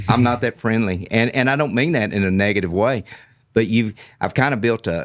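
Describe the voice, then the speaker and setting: On a very clean recording with a silent background, a man with an American accent and a medium-pitched voice speaks at a fairly quick pace, with very even loudness and ordinary pitch variation. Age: 60s. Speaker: cattle rancher. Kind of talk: podcast interview.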